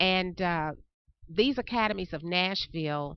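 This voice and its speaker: With a Tennessee accent, a woman talks fairly slowly at a fairly low pitch, her pitch varying in an ordinary way. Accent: Southern US (Tennessee). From US South. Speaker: chamber of commerce education director. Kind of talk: interview. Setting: on location.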